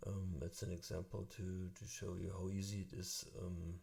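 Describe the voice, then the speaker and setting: At a fairly slow pace, a man with a very deep, low pitch speaks in a somewhat breathy, dark, mellow tone with fairly even intonation. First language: German. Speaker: music tutorial youtuber. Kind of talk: tutorial. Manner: halting, many fillers.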